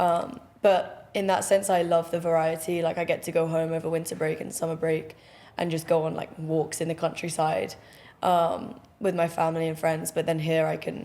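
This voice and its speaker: A woman speaks at a fairly low pitch with a dark, mellow tone. Her intonation is monotone and flat, and her pace is moderate. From southwest England, near Bath. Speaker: college tennis player. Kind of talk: podcast interview. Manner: casual, filler-heavy.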